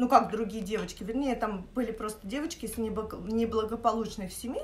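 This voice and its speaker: A woman's voice is heard. Some light noise sits in the background. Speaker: vlogger. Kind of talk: casual vlog chat, storytelling. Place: kitchen. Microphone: phone near.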